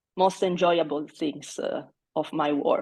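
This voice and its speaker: Speaking very slowly, a woman uses a fairly low pitch and a dark, mellow tone with monotone, flat intonation. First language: not English. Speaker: mathematics education researcher. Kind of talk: interview.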